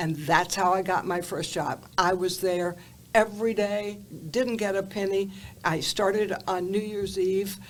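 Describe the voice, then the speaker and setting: A woman speaks in a Southern US accent at a medium pitch. Her intonation stays fairly even. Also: fairly slow pace. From US South, Atlanta, Georgia. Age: 80s+. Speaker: TV journalist. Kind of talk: interview storytelling.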